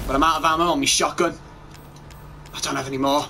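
A man's voice over noticeable background noise. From England. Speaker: gaming YouTuber. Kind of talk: let's play commentary. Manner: animated.

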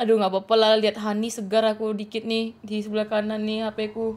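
A woman's voice, fairly high in pitch, at a fairly quick pace. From Aceh, Indonesia. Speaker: gaming streamer. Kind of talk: live game stream commentary. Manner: casual, chatty.

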